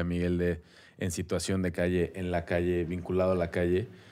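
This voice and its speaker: In a very clean recording with a silent background, a man talks with a very deep, low pitch. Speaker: podcast co-host. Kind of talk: casual chat. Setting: studio.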